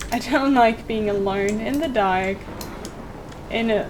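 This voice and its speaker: Fairly high female voice, ordinary pitch variation, audible room echo and noticeable background noise. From Germany. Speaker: streamer. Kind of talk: let's play commentary. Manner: animated.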